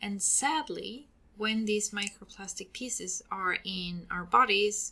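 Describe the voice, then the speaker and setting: A woman with a Swedish accent speaks at a very slow pace. Her medium-pitched voice has a bright, sharp tone. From Sweden. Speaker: podcast host and hair stylist. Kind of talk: educational podcast monologue. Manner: hesitant with fillers.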